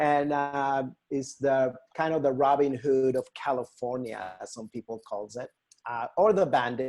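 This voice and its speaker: Speaking with a Mexican accent at a fairly slow pace, a man uses a medium pitch with ordinary pitch variation and big swings in loudness. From Mexico, Hermosillo, Sonora. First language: Spanish. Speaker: nonprofit river restoration educator. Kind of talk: presentation to a volunteer group. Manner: halting, many fillers.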